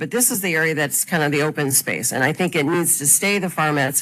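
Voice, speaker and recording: Loud and bright with a sharp tone, a woman with a Chicago accent speaks at a very deep, low pitch. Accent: Chicago-area American. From Illinois, Chicago suburbs (Burr Ridge). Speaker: farm owner, public commenter. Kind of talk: public hearing testimony. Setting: public meeting room with microphone.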